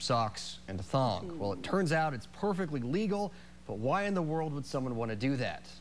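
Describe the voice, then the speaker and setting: With lively intonation, a man uses a normal speaking voice at a moderate pace. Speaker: TV news anchor and reporter. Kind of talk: TV news anchor read.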